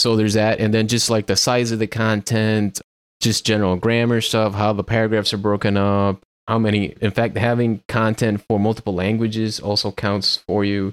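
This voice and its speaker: A man speaks at a moderate pace and fairly low pitch, with very even loudness and a monotone, flat intonation. The recording is very clean with a silent background and a dry, close sound with no echo. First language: Spanish. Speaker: podcast host, software developer. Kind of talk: casual technical chat.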